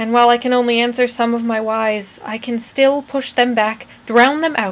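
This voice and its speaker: Moderate pace and fairly even intonation from a woman with a fairly high pitch. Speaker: college student. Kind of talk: spoken word poetry performance. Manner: quiet.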